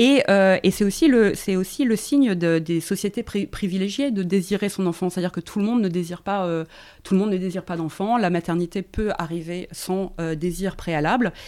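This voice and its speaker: At a moderate pace, a woman speaks with a dark, mellow tone in a very clean recording with a silent background. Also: medium pitch for a woman, ordinary pitch variation. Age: 40s. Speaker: feminist author and journalist. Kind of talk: casual chat.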